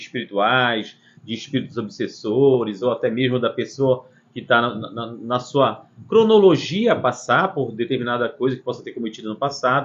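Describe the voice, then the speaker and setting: This man has an unremarkable speaking voice at a medium pitch. His intonation is lively and his pace moderate. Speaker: spiritist center host answering questions. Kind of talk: live Q&A.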